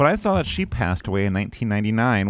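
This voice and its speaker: A man speaks with a Northern Michigan accent and lively intonation. The recording is very clean, with a silent background. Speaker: podcast host. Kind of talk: casual comedic chat.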